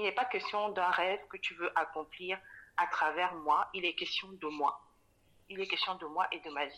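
At a moderate pace, a woman speaks at a medium pitch with ordinary pitch variation. Her loudness swings widely, and she takes long, frequent pauses. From Cameroon, Douala. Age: 30s. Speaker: specialized educator and mother. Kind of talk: casual interview. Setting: remote recording. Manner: halting, many fillers.

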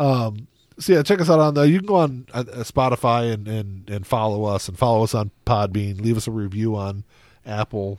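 A man speaks at a medium pitch and a moderate pace. He has a plain, everyday voice with ordinary pitch variation. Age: 40s. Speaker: podcast co-host. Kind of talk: casual chat. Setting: studio.

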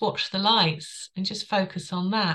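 Bright and sharp in tone, a woman with a London accent keeps her intonation fairly even. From London, England. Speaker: author and wellbeing coach. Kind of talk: interview.

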